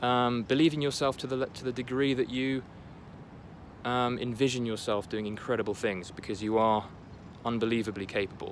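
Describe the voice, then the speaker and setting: A man at a fairly quick pace, medium pitch and fairly even intonation. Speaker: motivational vlogger. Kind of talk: motivational talk to camera. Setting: apartment, packing up. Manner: halting, many fillers and restarts.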